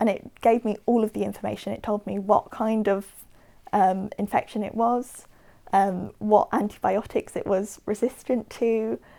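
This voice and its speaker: Someone with a Southern English accent speaks at a moderate pace in a dark, mellow tone with fairly even intonation. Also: woman, fairly high pitch for a woman. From Watford, England. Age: 20s. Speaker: patient. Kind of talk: interview answer.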